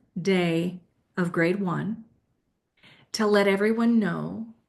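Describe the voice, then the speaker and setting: A woman with a medium pitch speaks very slowly. Her intonation stays fairly even. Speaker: podcast host. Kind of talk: casual chat, personal story.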